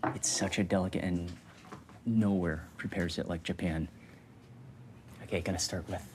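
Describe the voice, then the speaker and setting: Quietly, a man speaks with a very deep, low pitch. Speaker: food vlogger. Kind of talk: food vlog narration. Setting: small restaurant. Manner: quiet, keeping voice low; animated.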